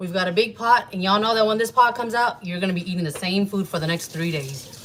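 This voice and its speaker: A woman at a medium pitch with lively intonation, over noticeable background noise. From US South. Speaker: home cook, food channel host. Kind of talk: live cooking tutorial. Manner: casual, chatty.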